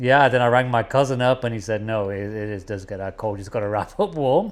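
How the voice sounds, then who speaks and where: A man with a British accent talks at a very fast pace, his pitch medium and its variation ordinary. His loudness swings widely, and the recording is very clean with a silent background. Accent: English (UK). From England, East Midlands (Nottingham). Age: 40s. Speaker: businessman. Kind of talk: casual chat.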